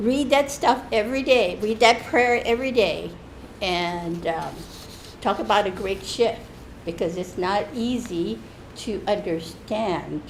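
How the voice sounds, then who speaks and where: A woman talks at a fairly slow pace with vocal fry, medium pitch and ordinary pitch variation. Audible room echo surrounds her voice. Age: 70s. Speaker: church member. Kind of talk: testimony. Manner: halting, with many restarts.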